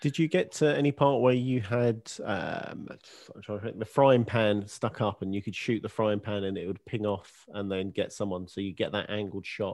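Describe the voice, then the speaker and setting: The speaker is a man with an ordinary speaking voice and a fairly low pitch. He keeps a moderate pace and ordinary pitch variation against a quiet background. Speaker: gaming podcast co-host. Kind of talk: casual chat. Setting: video call.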